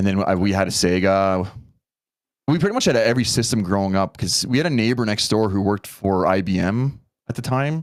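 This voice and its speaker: A man with a fairly low pitch and a Canadian accent, a plain, everyday voice, very even loudness, ordinary pitch variation and a fairly quick pace. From Canada. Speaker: content creator. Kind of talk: casual podcast interview.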